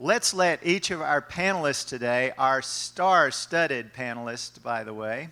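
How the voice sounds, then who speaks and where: A loud man with a bright, sharp tone and ordinary pitch variation, on a very clean recording with a silent background. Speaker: college professor, panel moderator. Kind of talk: panel moderation at workshop.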